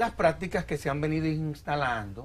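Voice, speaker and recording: There is light background noise as a somewhat breathy man speaks at a moderate pace. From Dominican Republic. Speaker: lawyer and civil society executive; interview guest. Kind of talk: TV interview. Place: studio. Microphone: lapel.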